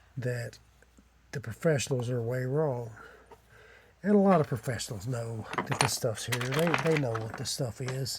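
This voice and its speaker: Speaking in an Appalachian accent is a man. His pitch is medium. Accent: Appalachian hillbilly. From Eastern Kentucky. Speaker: amateur artifact collector. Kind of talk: casual video monologue.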